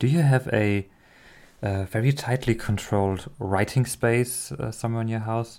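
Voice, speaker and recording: Speaking at a moderate pace and medium pitch with ordinary pitch variation, a man uses an ordinary speaking voice on a very clean recording with a silent background. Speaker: podcast host. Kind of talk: casual interview.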